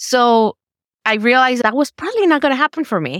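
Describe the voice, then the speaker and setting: A woman with a Spanish accent talks fairly quickly at a high pitch, the sound dry and close with no echo. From Mexico, raised in Georgia from age 14. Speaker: family medicine resident doctor. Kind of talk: interview, personal story.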